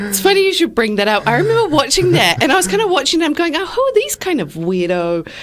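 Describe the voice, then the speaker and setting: Over noticeable background noise, a woman with a high pitch races along at a very fast pace, hardly pausing, her pitch swinging very widely. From Iran, Tehran. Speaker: political candidate and psychology lecturer. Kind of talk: radio interview. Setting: community radio studio.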